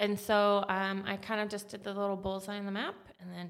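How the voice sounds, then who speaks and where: A woman speaks at a moderate pace and a medium pitch with an American accent. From Atlanta, US South. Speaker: marketing consultant, company founder. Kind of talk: casual interview. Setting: podcast studio.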